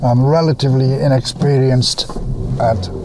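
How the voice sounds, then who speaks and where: Loud background noise surrounds a man whose voice comes through dry, with no echo. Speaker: wildlife photographer. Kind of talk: casual vlog talk to camera. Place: car. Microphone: phone near.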